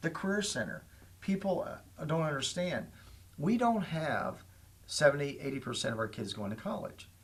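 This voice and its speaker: A man with a Midwestern American accent and vocal fry speaks with very wide pitch swings. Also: fairly high pitch for a man, moderate pace. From Indiana, Lafayette area. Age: 60s. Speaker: school superintendent. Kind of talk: talk show interview.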